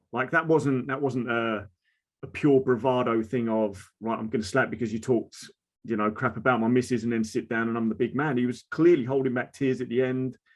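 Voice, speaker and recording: A man speaks with an Essex accent at a medium pitch. His pace is fairly quick and his intonation fairly even. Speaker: mental health advocate, social media creator. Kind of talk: casual conversation. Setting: video call.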